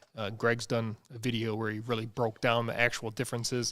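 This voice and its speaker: In a very clean recording with a silent background, a man with a Wisconsin accent talks at a moderate pace and a medium pitch. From US Midwest, central Wisconsin. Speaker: livestream host for an office furniture dealer. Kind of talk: casual livestream chat. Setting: livestream.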